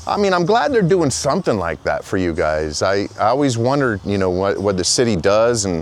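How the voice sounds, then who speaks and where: Someone with an American accent talks at a fairly quick pace with hardly any pauses and very wide pitch swings, over noticeable background noise. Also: man, fairly low pitch for a man. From Florida. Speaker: street interviewer, video creator. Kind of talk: casual street interview. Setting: outdoors.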